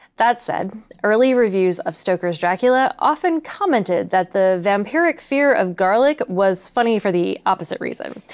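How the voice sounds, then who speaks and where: Lively intonation runs through speech at a moderate pace with hardly any pauses. The background is quiet. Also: woman. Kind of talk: lecture. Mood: lively, amused. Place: studio.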